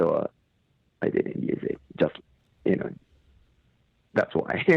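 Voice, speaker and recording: A man is speaking. He has a Japanese accent. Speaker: metal band lead singer. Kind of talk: interview. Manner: halting.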